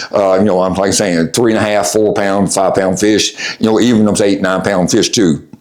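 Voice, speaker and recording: A man with a Tennessee accent speaks with a fairly low pitch. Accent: Southern US (Tennessee). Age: 60s. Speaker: fishing guide. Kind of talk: tutorial. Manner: casual, hesitant with many fillers.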